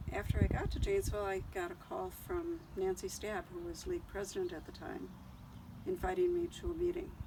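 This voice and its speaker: With an Upper Midwest accent, a woman speaks at a moderate pace. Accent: Upper Midwest American. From Wisconsin, Kenosha. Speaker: retired city grants administrator, civic volunteer. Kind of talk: oral history interview.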